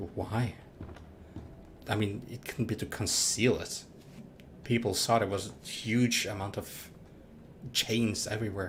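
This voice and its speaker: A somewhat breathy man with a fairly low pitch and long, frequent pauses. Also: fairly even intonation, fairly slow pace. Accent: non-native. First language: not English. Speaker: livestreaming gamer. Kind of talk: live gameplay commentary. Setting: livestream. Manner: halting, with false starts.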